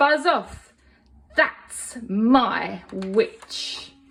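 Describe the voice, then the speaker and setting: A woman puts on a character voice that is high-pitched, shrill, croaky and growling. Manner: menacing.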